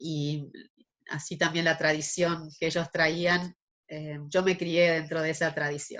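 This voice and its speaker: A woman speaks in a monotone, flat intonation at a very slow pace, her pitch fairly low for a woman. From Argentina. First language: German (speaking Spanish). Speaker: interviewee, artist. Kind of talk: interview.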